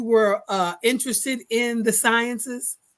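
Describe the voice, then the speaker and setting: A woman with an American accent and a high pitch speaks at a fairly slow pace. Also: very clean recording, silent background. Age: 60s. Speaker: podcast host. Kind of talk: casual interview.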